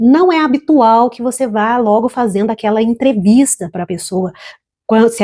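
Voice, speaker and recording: A woman's normal speaking voice with lively intonation at a moderate pace. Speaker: financial educator and small business consultant. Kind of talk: educational talk to camera about couples' finances. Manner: calm, warm, measured.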